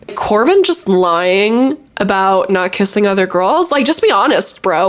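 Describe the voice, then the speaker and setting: Animated tone from a woman of medium pitch, very wide pitch swings, and noticeable background noise. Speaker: youtuber, reality TV commentator. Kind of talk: casual vlog commentary. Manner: animated, chatty; filler-heavy, self-correcting.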